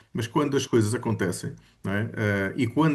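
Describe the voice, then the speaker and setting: With ordinary pitch variation, the voice keeps to a fairly quick pace. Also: man. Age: 60s. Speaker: study group participant. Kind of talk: casual group discussion. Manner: halting, many fillers.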